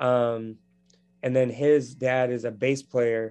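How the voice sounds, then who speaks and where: A man's medium-pitched voice in a monotone, flat intonation at a very slow pace. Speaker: edtech founder. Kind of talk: interview, conversational.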